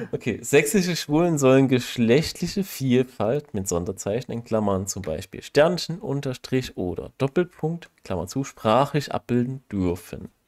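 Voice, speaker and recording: Recorded dry and close with no echo, a man speaks at a medium pitch and a fairly slow pace with hardly any pauses. His pitch swings very widely. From Saxony, Germany. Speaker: podcast co-host. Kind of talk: casual chat.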